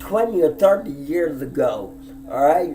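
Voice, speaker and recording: A man talks at a fairly slow pace, with noticeable background noise present. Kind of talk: personal monologue vlog. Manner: emphatic, heated.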